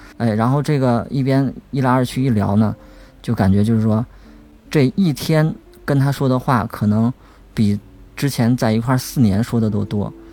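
Music plays behind a man speaking at a medium pitch and moderate pace. His loudness stays very even, with ordinary pitch variation and long, frequent pauses. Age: young. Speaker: blind podcast team member. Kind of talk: casual chat.

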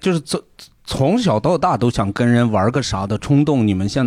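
With lively intonation and a moderate pace, an unremarkable speaking voice comes through a very clean recording with a silent background. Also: man. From Gansu, northwest China. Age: 40s. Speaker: podcast guest. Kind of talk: casual chat.

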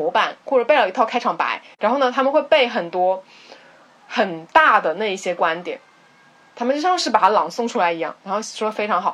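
Over noticeable background noise, a woman speaks in a fairly high pitch with very wide pitch swings. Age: 20s. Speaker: podcast co-host. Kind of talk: casual chat.

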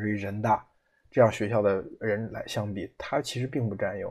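A man speaks at a moderate pace and fairly low pitch, with monotone, flat intonation. His voice is somewhat breathy against a quiet background. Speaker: podcast host. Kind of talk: solo commentary. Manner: hesitant with frequent fillers.

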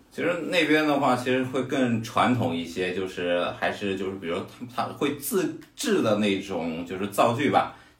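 A man speaks at medium pitch and a moderate pace, his pitch swinging very widely. The recording has audible room echo and noticeable background noise. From Hefei, Anhui, China. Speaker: fitness coach. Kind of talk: casual chat.

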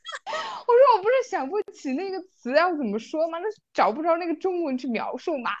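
A woman's extremely high voice moves through very wide pitch swings at a fairly quick pace, her tone animated. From Yunnan, Mangshi (Dehong). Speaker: podcast co-host. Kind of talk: casual chat. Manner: animated storytelling.

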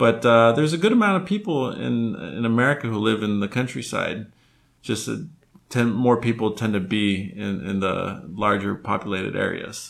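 With lively intonation, a man talks at a moderate pace in an unremarkable speaking voice of medium pitch. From Texas, Brownsville. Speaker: guest. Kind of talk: casual interview.

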